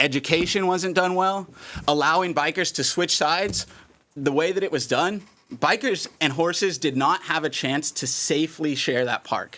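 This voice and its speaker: A man with a bright, sharp tone and a fairly high pitch speaks with ordinary pitch variation on a very clean recording with a silent background. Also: moderate pace. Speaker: park board director. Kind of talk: public meeting deliberation. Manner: loud; halting, many fillers.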